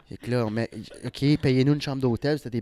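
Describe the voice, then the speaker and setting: Speaking very fast, a man with an Ontario accent has a dark, mellow tone. His intonation is fairly even, and the sound is dry and close with no echo. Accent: Franco-Ontarian French. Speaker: comedian. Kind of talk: casual chat.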